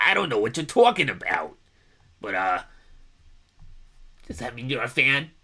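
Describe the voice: Putting on a raspy character voice in a New York accent, a man speaks at a moderate pace and medium pitch, with long, frequent pauses.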